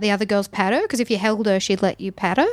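A woman speaks with an Australian accent. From Townsville, Queensland, Australia. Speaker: stand-up comedian. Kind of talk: casual chat.

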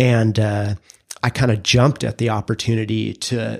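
A man's medium-pitched voice stays monotone, with flat intonation throughout. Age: 40s. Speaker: podcast co-host, brand strategist. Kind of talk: casual interview about career story.

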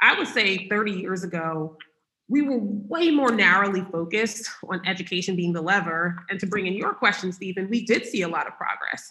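A woman speaks at a moderate pace in an unremarkable speaking voice. Her pitch is medium, with ordinary pitch variation. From New York City. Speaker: nonprofit executive director. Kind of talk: interview.

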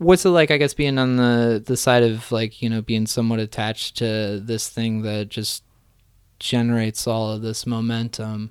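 A man with an unremarkable speaking voice at medium pitch, moderate pace and fairly even intonation, in a very clean recording with a silent background. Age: 30s. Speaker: podcast host. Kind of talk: casual interview; show intro and outro.

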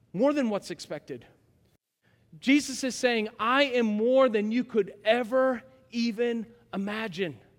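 A man speaks loudly in an animated tone at an extremely high pitch, with ordinary pitch variation. His pace is fairly slow, with long, frequent pauses. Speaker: pastor. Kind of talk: sermon. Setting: church.

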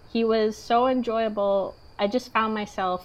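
This is a plain, everyday voice. The pace is fairly slow. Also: woman. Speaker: podcast co-host. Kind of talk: casual chat.

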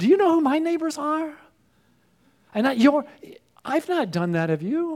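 A man with an extremely high pitch speaks with lively intonation, leaving long, frequent pauses. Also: moderate pace. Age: 60s. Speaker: pastor. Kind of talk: sermon.

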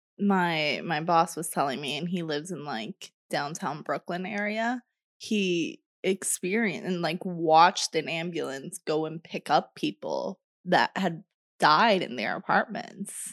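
With an unremarkable speaking voice, a woman talks at a fairly low pitch and a fairly slow pace, using ordinary pitch variation, in a dry, close sound with no echo against a quiet background. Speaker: podcast host. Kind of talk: casual chat. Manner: playful banter.

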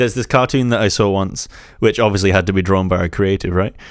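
In a very clean recording with a silent background, a man speaks in a fairly low voice with fairly even intonation. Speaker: musician and podcast host. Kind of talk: casual chat. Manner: chatty, hesitant with fillers.

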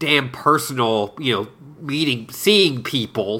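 Slow-paced, a man with a medium pitch and a bright, sharp tone speaks fairly slowly with ordinary pitch variation. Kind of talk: casual chat.

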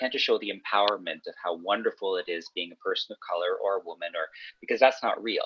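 In a Canadian accent, a man talks at a very fast pace with a dry, close sound that has no echo. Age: 30s. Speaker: author. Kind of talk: casual chat.

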